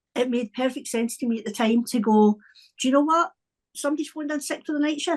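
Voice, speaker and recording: Lively intonation marks this woman's speech, delivered in a Scottish accent. She talks at a very fast pace with a dry, close sound and no echo. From Scotland. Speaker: wellbeing coach. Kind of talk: podcast interview.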